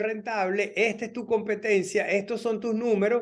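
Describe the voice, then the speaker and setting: A man with a Venezuelan accent, high-pitched, against a quiet background. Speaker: immigration lawyer. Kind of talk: informational talk.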